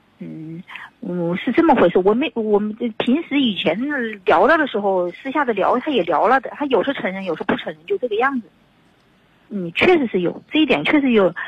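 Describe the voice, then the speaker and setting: A woman talks fairly quickly at a fairly high pitch, her voice swinging very widely in pitch over noticeable background noise. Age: 50s. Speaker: caller seeking advice about unfaithful husband. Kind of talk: radio call-in advice conversation.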